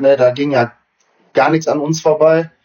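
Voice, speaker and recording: A man with a normal speaking voice. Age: 30s. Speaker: amateur footballer and coach. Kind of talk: casual chat.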